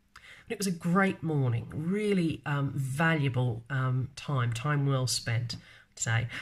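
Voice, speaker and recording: A woman's very deep, low, somewhat breathy voice with an Australian accent, lively intonation and a very slow pace. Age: 40s. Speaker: marketer and vlogger. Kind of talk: casual live video talk. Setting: live stream. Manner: hesitant, many fillers.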